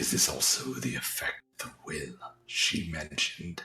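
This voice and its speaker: Using a put-on character voice, a man speaks at a moderate pace with very deep, low pitch. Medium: solo performance. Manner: terse, guarded.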